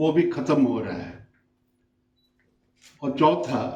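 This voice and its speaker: Audible room echo surrounds a man with a non-native accent. His pitch is fairly high, with ordinary variation. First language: not Hindi (speaking Hindi). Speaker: invited speaker at memorial discussion. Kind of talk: political speech at memorial meeting. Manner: formal.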